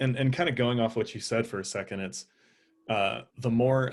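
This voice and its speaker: A man speaks at a moderate pace in a medium pitch. He has an unremarkable speaking voice with fairly even intonation. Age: 20s. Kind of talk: casual chat.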